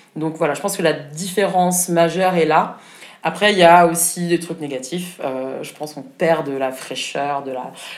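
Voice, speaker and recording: Noticeable background noise can be heard throughout. The talking proceeds at a moderate pace. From Germany (Berlin). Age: 30s. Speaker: start-up founder. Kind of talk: interview.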